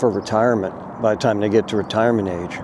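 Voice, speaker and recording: Over noticeable background noise, a man talks in a relaxed tone at a moderate pace with fairly even intonation. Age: 60s. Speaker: vlogger. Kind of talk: casual monologue vlog. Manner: relaxed, hesitant with fillers.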